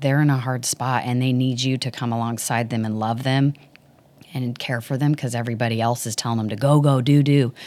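Speaking fairly quickly with a Texan accent, a woman uses a very deep, low pitch and monotone, flat intonation in a very clean recording with a silent background. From Dallas, Texas. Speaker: worship ministry leader. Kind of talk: interview conversation.

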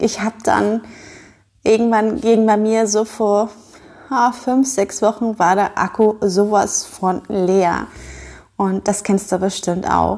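At a very slow pace, a woman speaks with fairly even intonation and a fairly high pitch over a quiet background. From northern Germany (Schleswig-Holstein). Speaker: podcast host and business owner. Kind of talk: casual monologue.

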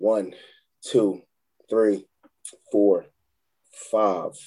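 Speaking very slowly in a Philadelphia accent, a man keeps his intonation fairly even. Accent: Philadelphia-area urban American. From Chester, Pennsylvania. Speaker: youth court liaison and football coach. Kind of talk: casual interview. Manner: halting, repetitive starts.

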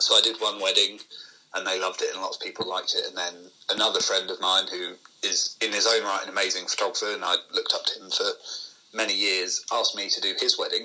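A man talking at a very fast pace against noticeable background noise. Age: 20s. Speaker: videographer and photographer. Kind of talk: casual interview chat.

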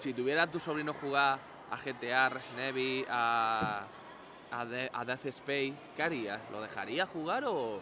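A man speaks very slowly at a medium pitch, his pitch varying in an ordinary way. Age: 20s. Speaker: gaming podcaster. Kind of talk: casual chat.

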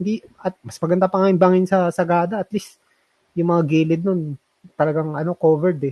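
A man's high voice moves at a fairly quick pace with fairly even intonation. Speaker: cycling podcast co-host. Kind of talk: casual chat. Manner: halting, many fillers.

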